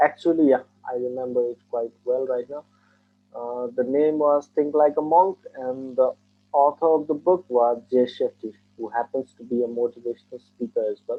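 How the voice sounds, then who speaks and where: Over music in the background, a man with a Nepali accent talks at a fairly slow pace in a medium pitch. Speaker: engineer taking mock exam. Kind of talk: speaking test interview.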